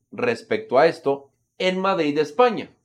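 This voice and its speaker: A man with a Mexican accent talks at a very slow pace. His pitch is high for a man, and his intonation is lively. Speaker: political commentator. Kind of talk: casual chat.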